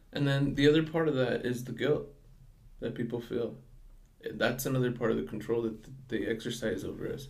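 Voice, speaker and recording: Spoken at a fairly quick pace with vocal fry, the voice has ordinary pitch variation. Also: man. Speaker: customer service worker and student. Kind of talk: casual chat. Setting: studio with headphones. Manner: soft-spoken.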